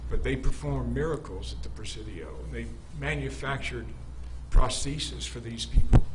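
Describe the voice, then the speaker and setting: A man with an American accent speaks in a very deep, low voice with flat, monotone intonation, his loudness swinging widely over noticeable background noise and audible room echo. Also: moderate pace. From Maine, US. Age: 70s. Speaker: defendant, Vietnam-era veteran. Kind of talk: court testimony. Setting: courtroom.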